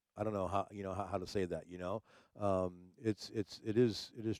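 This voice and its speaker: Against a quiet background, a man talks at a fairly quick pace with ordinary pitch variation. The sound is dry and close with no echo. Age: 60s. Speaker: livestream talk show host and DJ. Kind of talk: casual livestream chat. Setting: live stream. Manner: halting, many repetitions and fillers.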